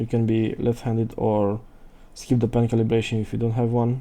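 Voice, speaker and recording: A man's dark, mellow tone with a non-native accent, at a moderate pace. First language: not English. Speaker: tech reviewer. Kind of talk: unboxing and setup walkthrough. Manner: halting, thinking aloud.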